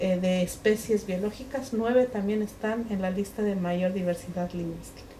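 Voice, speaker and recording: This woman has a medium pitch and her pitch varies in an ordinary way. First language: Mixe (speaking Spanish). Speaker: writer and linguist. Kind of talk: book presentation talk. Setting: bookshop event with audience. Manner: hesitant, many fillers.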